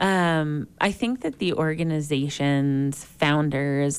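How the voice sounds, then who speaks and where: A woman talks in a very deep, low pitch with ordinary pitch variation. The recording is very clean, with a silent background. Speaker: co-host and nonprofit executive director.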